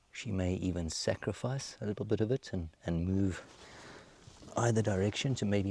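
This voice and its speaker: With a dark, mellow tone and a somewhat breathy quality, a man speaks at a fairly low pitch and a moderate pace, with ordinary pitch variation and a dry, close sound with no echo. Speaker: safari guide. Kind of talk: live wildlife commentary. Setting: outdoors on safari. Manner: halting.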